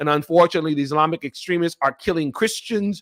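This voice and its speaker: Recorded very cleanly against a silent background, a man with an American accent sounds dry and close, with no echo. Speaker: nonprofit founder and livestream host. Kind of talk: live forum talk. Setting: livestream video. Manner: loud.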